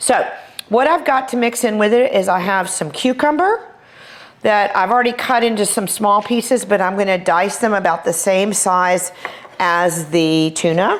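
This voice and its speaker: Speaking at a moderate pace with a Texas accent, a woman of medium pitch uses lively intonation, an animated tone, and very even loudness over noticeable background noise. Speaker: chef. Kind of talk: cooking tutorial. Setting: kitchen.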